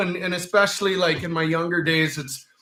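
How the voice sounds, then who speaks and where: A loud man speaks at a high pitch and a fairly quick pace, his tone bright and sharp. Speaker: band singer. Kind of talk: casual chat.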